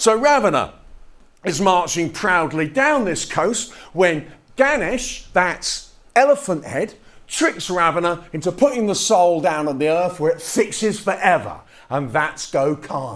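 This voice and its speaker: Pitch swings very widely throughout. The delivery is fairly slow. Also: man, high pitch for a man. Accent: English. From England. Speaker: touring fringe performer and poet. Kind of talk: spoken-word storytelling show.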